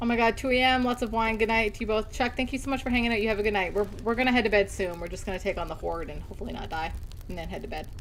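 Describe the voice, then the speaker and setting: Over noticeable background noise, a woman with a fairly high pitch talks very fast with ordinary pitch variation. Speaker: gaming streamer. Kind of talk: live gameplay commentary.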